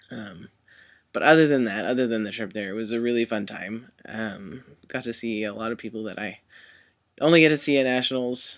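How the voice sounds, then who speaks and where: On a very clean recording with a silent background, a man with a plain, everyday voice talks at a fairly quick pace, medium in pitch with ordinary pitch variation and big swings in loudness. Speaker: vlogger. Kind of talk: casual vlog. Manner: casual, many fillers.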